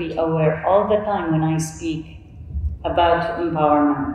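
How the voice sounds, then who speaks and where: A woman with an Arabic accent speaks at a fairly slow pace. Her pitch is fairly low, and the room echo is audible. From Saudi Arabia. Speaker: coach and panelist; coach, panelist. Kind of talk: conference panel talk. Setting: stage with audience. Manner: halting. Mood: earnest, reflective. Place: hall.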